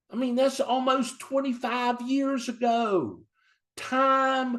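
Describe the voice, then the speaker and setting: A man speaks in an animated tone at an extremely high pitch. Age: 60s. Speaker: author and business leader. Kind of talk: motivational speech. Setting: video call.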